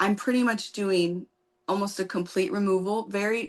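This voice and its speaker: The delivery is unhurried and moderate in pace, with pitch moving in an ordinary way. It is an ordinary speaking voice. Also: woman. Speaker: nail technician and educator. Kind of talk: live tutorial Q&A chat.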